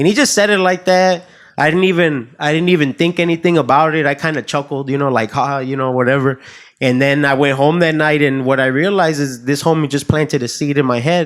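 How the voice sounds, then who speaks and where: An ordinary speaking voice from a man with an American accent, fairly high in pitch, fairly quick, with ordinary pitch variation, on a very clean recording with a silent background. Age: 30s. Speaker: realtor. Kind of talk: casual chat.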